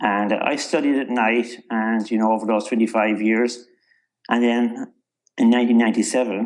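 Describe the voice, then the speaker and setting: With a Cork accent, a man talks at a moderate pace and medium pitch in monotone, flat intonation. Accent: Irish (Cork). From Ireland, North County Cork. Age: 60s. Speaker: author and entrepreneur. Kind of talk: interview.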